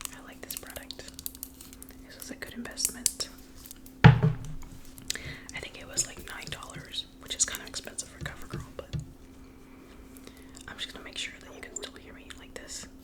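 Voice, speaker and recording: A woman whispers in an American accent, her loudness swinging widely. She leaves long, frequent pauses, with noticeable background noise around her. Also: moderate pace. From US South (Georgia). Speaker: ASMR creator. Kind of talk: ASMR whispered chat. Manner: whispering, quiet; relaxed, laid-back.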